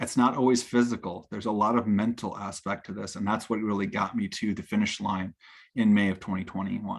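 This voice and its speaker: On a very clean recording with a silent background, a man with an ordinary speaking voice talks at a fairly low pitch. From United States. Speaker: Ironman triathlete and COVID survivor. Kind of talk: personal testimony talk.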